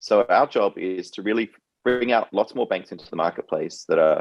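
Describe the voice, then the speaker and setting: A man with a slight Australian accent talks at a moderate pace, and the sound is dry and close with no echo. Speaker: fintech CEO and co-founder. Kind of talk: interview.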